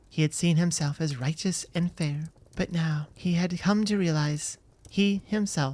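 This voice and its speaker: On a very clean recording with a silent background, a woman speaks at a fairly slow pace in a gentle tone, her fairly low pitch showing ordinary variation. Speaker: ASMR voice actor. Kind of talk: bedtime story telling. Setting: home studio. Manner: soft-spoken, gentle.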